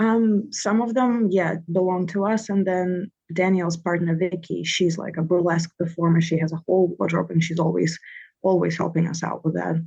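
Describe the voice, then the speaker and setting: A woman with a Russian accent speaks at a moderate pace in a fairly low pitch. Her voice is somewhat breathy, with fairly even intonation. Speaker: comedian and comedy producer. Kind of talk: casual interview.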